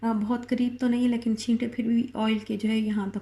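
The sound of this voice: Speaking at a moderate pace, a woman has a fairly high pitch and a dark, mellow tone.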